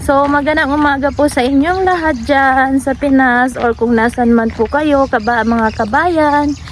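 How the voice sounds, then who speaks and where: Her loudness very even, a woman speaks at a high pitch. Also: ordinary pitch variation, fairly slow pace, hardly any pauses. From Philippines. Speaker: vlogger. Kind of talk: casual talk to camera.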